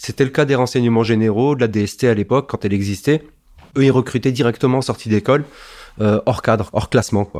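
A man's medium-pitched voice moves along at a fairly quick clip. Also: fairly even intonation. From Strasbourg, Alsace, France. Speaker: former intelligence police officer. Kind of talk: testimony. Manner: conversational with frequent hesitations.

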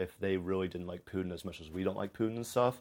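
A man's very deep, low voice in a very clean recording with a silent background. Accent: American. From US Midwest, Cincinnati area, Ohio. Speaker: former study-abroad student. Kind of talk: casual chat.

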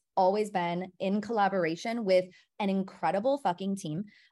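A woman speaks in a medium pitch with an American accent. The background is quiet. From Milwaukee, Wisconsin. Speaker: entrepreneur, brand founder. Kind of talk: casual interview chat. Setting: video call.

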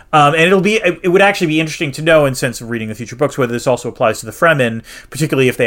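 Speaking very fast, a man lets his pitch swing very widely. There is noticeable noise in the background. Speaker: podcast co-host. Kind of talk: casual chat, podcast banter. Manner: animated, joking.

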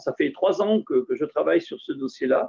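A man speaks in a high pitch. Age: 50s. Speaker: dairy farmer. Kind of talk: casual interview.

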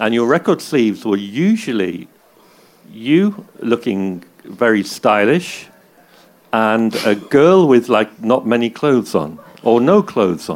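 A man with a Manchester accent, medium in pitch, with very wide pitch swings and a fairly slow pace. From England, Manchester. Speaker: DJ and journalist, interviewer. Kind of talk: live on-stage interview. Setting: stage with audience.

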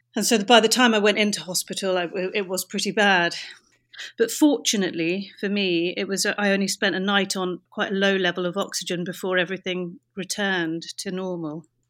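A woman's medium-pitched voice at a fairly quick pace, fairly even in intonation, on a very clean recording with a silent background. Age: 30s. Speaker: bar owner. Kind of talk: interview. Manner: halting.

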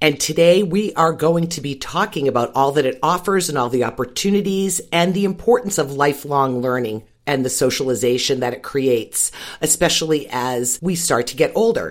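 A woman speaks with a very deep, low pitch. Her pace is moderate, and her pitch swings very widely. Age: 60s. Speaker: podcast host. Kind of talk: interview.

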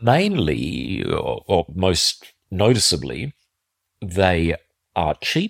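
Lively intonation and vocal fry mark this Australian-accented voice, recorded dry and close with no echo in a very clean recording with a silent background. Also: man. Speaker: defence analyst podcast host. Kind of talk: solo commentary podcast.

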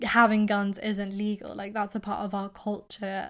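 A woman of medium pitch speaks with a British accent in a very clean recording with a silent background. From England. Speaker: podcast co-host. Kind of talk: casual chat.

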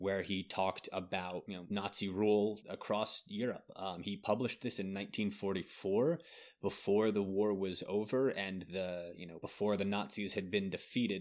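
In a plain, everyday voice at a fairly low pitch, a man speaks at a moderate pace with fairly even intonation and hardly any pauses, on a very clean recording with a silent background. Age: 30s. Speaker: podcast host on genocide history. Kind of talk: casual educational chat.

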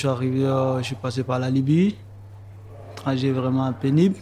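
Noticeable background noise sits behind a man speaking. His voice is medium in pitch, with fairly even intonation. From Côte d'Ivoire. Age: young. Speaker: young migrant, electrician. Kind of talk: testimony.

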